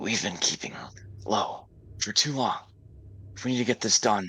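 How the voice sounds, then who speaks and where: A whispered, put-on character voice at a moderate pace. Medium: actual play.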